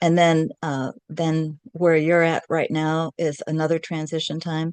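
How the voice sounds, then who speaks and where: Against a quiet background, a woman with a very deep, low pitch talks at a fairly slow pace in a dry, close sound with no echo. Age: 70s. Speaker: podcast co-host. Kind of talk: casual chat. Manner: halting, many fillers.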